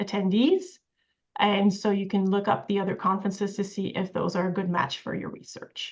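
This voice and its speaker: A woman with a French accent. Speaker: professor. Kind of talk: lecture. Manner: many filler sounds.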